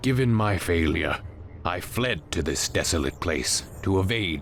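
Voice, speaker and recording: A man puts on a character voice while background noise is clearly audible. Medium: video game. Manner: grave, imposing.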